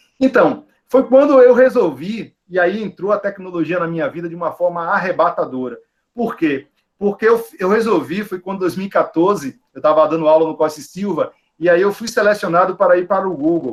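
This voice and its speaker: The pace is moderate. The intonation is lively. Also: man. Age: 40s. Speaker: teacher and school director. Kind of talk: online lecture.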